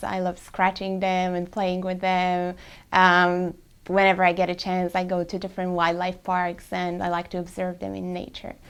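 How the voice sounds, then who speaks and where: On a very clean recording with a silent background, a woman talks at a moderate pace with medium pitch and monotone, flat intonation. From Poland. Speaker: market research team member. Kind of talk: casual self-introduction.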